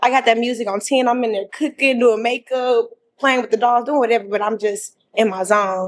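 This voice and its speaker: At a fairly quick pace and with hardly any pauses, a woman talks in a fairly high pitch with fairly even intonation. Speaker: dating show contestant. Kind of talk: casual chat. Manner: loud; talkative, rambling.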